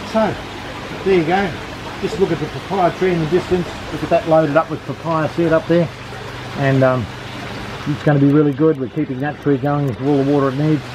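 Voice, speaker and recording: A man with an Australian accent speaks at a fairly quick pace. Noticeable background noise is present. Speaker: aquaponics farmer and teacher. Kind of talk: guided walking tour. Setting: greenhouse on a farm. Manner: enthusiastic. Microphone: phone near.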